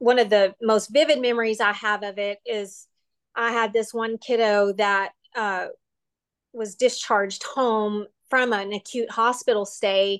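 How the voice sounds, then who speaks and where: Someone with a Texan accent speaks at a very slow pace with fairly even intonation, the sound dry and close with no echo and the background quiet. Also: woman. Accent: Texan US Southern. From West Texas, near Lubbock. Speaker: occupational therapist. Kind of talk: interview.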